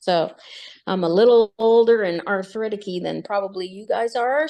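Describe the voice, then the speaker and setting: A woman's unremarkable speaking voice at medium pitch and a moderate pace. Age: 60s. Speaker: support group member. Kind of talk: casual chat.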